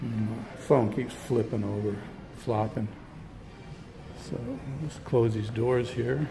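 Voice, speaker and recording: A soft-spoken man talks at a very slow pace and medium pitch, with long, frequent pauses, ordinary pitch variation, audible room echo and music in the background. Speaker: vlogger, electric vehicle enthusiast. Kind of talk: vlog. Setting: car dealership showroom. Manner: casual, with filler words.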